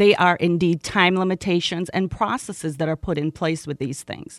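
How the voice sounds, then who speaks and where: Recorded dry and close with no echo, a woman speaks at a moderate pace in a fairly low voice. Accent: American. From Jamaica, Kingston. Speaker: community organizer. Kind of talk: interview. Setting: radio studio.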